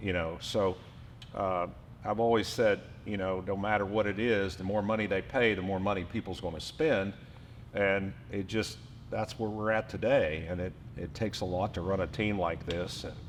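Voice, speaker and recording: Using an ordinary speaking voice, a man talks at a moderate pace in a fairly low pitch with ordinary pitch variation. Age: 60s. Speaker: racing team owner. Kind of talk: casual chat.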